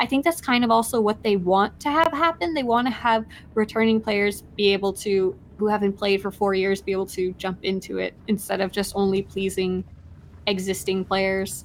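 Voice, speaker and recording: A woman speaks quietly at a medium pitch. Her pace is moderate and her pitch variation ordinary. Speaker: video game streamer. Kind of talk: casual chat on a live game stream. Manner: speaking quietly.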